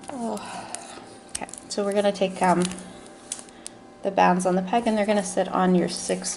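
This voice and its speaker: A woman with a medium pitch speaks over noticeable background noise. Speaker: crafting tutorial maker. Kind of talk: tutorial. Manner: slow; halting.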